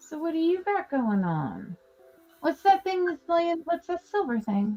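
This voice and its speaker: Over music in the background, a woman with an extremely high pitch talks at a fairly slow pace, her voice making very wide pitch swings. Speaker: live-stream crafter and seller. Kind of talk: casual chat while crafting. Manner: quirky pronunciation of words.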